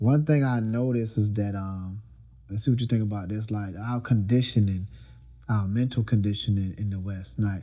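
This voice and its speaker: With a fairly low pitch and fairly even intonation, a man speaks at a moderate pace. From Florida, US South. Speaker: podcast host. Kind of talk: casual chat. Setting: studio.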